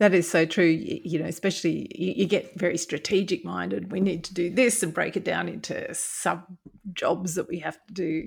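With an Australian accent, a woman talks at a moderate speed. Her recording is very clean and the background silent. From Brisbane, Australia. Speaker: veterinarian, veterinary board official. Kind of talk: interview.

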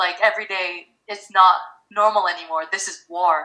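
A woman with an American accent at a medium pitch, with ordinary pitch variation. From Philippines. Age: 20s. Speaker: startup founder. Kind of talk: casual interview chat.

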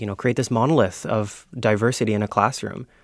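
Fairly low in pitch, a man with a Canadian accent talks in a plain, everyday voice. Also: very clean recording, silent background. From Ontario. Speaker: education and policy coordinator. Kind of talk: panel discussion. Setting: studio.

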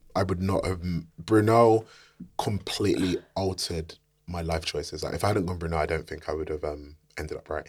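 On a very clean recording with a silent background, a man with a South London accent and a very deep, low pitch sounds somewhat breathy, speaking at a fairly quick pace with fairly even intonation. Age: 30s. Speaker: film director and screenwriter. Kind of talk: casual interview chat.

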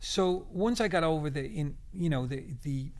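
This man speaks in a Dublin accent with fairly high pitch and ordinary pitch variation. There is audible room echo. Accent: Irish (Dublin). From Ireland, Dublin. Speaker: guitarist and producer. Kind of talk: interview.

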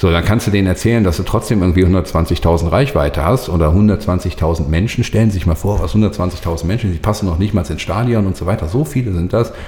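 A man's very deep, low voice at a fairly quick pace, with hardly any pauses, ordinary pitch variation, and noticeable background noise. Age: 40s. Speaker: social media agency owner. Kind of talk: casual interview. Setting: agency office.

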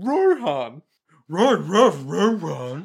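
A man puts on a character voice. It sits high in pitch. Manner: excited, urging.

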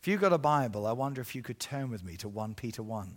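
Ordinary pitch variation and a fairly quick pace mark this voice with an English accent, heard in a very clean recording with a silent background. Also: man. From England. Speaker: evangelist. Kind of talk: sermon. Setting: church. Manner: animated.

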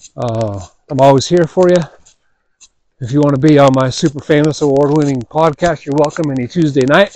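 Talking fairly quickly with an ordinary speaking voice, a man keeps a fairly high pitch that varies in an ordinary way. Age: 40s. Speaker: podcast host, father. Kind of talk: casual monologue.

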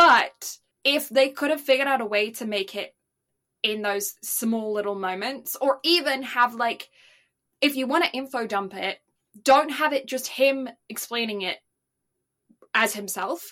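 Her voice is high-pitched with a bright, sharp tone, as the woman speaks at a fairly slow pace with long, frequent pauses. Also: ordinary pitch variation. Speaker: anime podcast co-host. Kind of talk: casual chat. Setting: home microphone with audio issues, remote recording.

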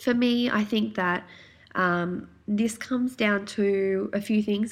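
A woman with an Australian accent, medium pitch and fairly even intonation. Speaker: naturopath and podcast host. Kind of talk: solo podcast talk. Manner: casual, many filler ums.

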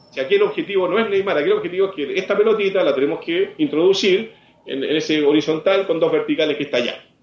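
Noticeable background noise surrounds a man talking at a very fast pace. His voice has a high pitch. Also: lively intonation. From Chile, Santiago. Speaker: former footballer and football commentator. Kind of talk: interview.

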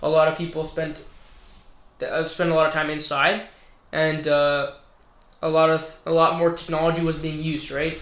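A man with a fairly high pitch speaks at a moderate pace, leaving long, frequent pauses. His delivery is monotone and flat, and the room echo is audible. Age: 20s. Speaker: podcast guest. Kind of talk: casual chat.

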